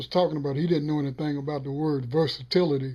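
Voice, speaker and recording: A man with an American accent speaks fast and monotone, his fairly high voice somewhat breathy, his intonation flat and his pace fairly quick. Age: 60s. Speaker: sportswriter. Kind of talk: interview answer.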